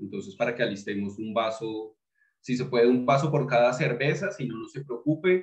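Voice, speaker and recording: The background is quiet, with audible room echo. A man speaks with ordinary pitch variation. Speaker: beer tasting host. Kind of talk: tutorial. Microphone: webcam.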